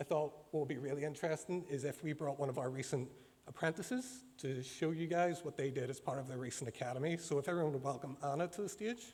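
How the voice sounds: Speaking fast at a fairly high pitch, a man has a slightly mellow tone and ordinary pitch variation. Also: few pauses.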